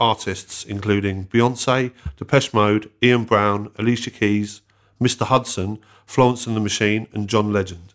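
An ordinary speaking voice with fairly even intonation in a very clean recording with a silent background. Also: man. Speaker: podcast host. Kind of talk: interview, host intro.

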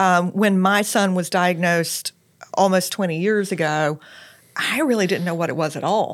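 A woman with an American accent uses an ordinary speaking voice at medium pitch. She keeps a moderate pace and ordinary pitch variation. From South Carolina, Lexington. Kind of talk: interview.

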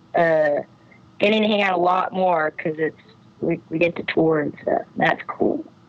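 A woman at a fairly low pitch and moderate pace, with ordinary pitch variation over noticeable background noise. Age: 20s. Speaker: musician in a band. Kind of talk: casual chat. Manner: halting, many fillers.

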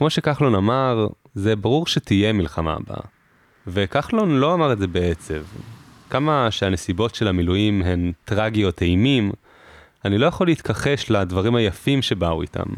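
A man's plain, everyday voice, fairly low in pitch, with lively intonation at a moderate pace. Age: 20s. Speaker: podcast host, army reservist. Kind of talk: personal narration.

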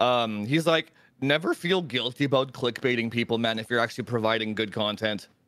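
Fairly quick in pace, a man talks at medium pitch with ordinary pitch variation. It is a normal speaking voice. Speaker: tech YouTuber. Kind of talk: casual chat. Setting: live stream.

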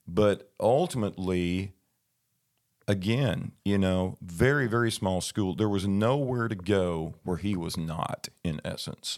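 With a Southern US accent, a man speaks at a very slow pace. His fairly low pitch shows ordinary variation. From southern Arkansas, US South. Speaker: guest sharing a personal faith story. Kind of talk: testimony. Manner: halting, many fillers and repeats.

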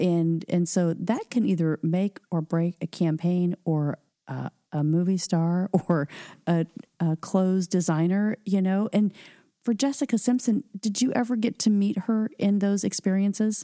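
In a very clean recording with a silent background and a dry, close sound with no echo, a woman talks at a fairly slow pace. She has a normal speaking voice at medium pitch with ordinary pitch variation. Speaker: podcast host. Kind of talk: interview.

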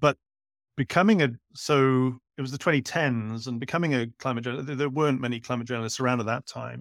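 Very fast speech from a man, the sound dry and close with no echo. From Wales, Cardiff. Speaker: climate journalist. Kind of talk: interview. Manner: repetitive stammering starts.

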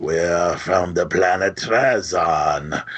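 A man uses a gravelly, put-on character voice at a very deep, low pitch. He speaks at a very slow pace.

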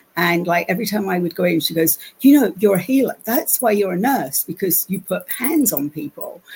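A woman speaks with an American accent and lively intonation. Music plays in the background. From London, England. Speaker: channeler and energy healer. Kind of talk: interview, conversational storytelling.

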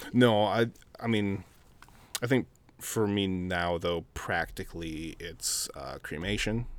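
With an Upper Midwest accent, a man speaks very slowly at a fairly low pitch, his long, frequent pauses broken by ordinary pitch variation. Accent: Upper Midwest American. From Minnesota, Minneapolis. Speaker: chef. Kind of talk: casual chat.

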